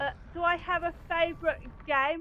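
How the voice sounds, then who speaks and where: The speaker talks fairly slowly with an East Midlands accent. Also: woman. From England, Lincolnshire. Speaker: gaming streamer. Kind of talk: casual chat.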